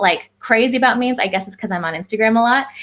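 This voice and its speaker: In a Californian accent, a woman speaks in an animated tone at a fairly high pitch with ordinary pitch variation. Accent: Californian American. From California, US. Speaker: clinical psychologist. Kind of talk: presentation.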